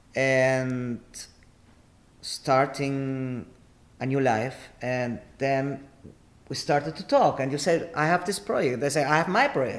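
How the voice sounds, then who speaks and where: In an Argentine accent, a man with a fairly high pitch and ordinary pitch variation talks at a very slow pace, leaving long, frequent pauses. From Argentina. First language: Spanish. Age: 50s. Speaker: artist and entrepreneur. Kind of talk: podcast interview. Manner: animated.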